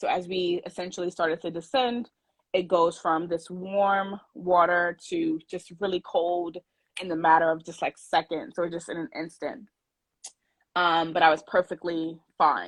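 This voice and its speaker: At a fairly slow pace, a woman with a fairly low pitch and ordinary pitch variation is heard in a dry, close sound with no echo. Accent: New York. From New York City, Brooklyn. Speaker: scuba diver, brand ambassador. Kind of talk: casual chat. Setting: video call.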